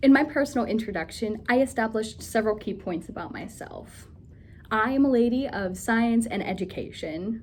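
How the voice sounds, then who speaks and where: The speaker moves at a moderate pace, somewhat breathy, with ordinary pitch variation and big swings in loudness. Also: woman, fairly high pitch for a woman. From United States. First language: German. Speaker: academic advisor and incoming instructor. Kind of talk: scripted presentation.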